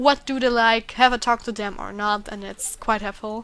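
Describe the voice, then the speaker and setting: A woman with an Austrian accent, a fairly high pitch and fairly even intonation. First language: German. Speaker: gaming YouTuber. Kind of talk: let's play commentary. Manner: halting.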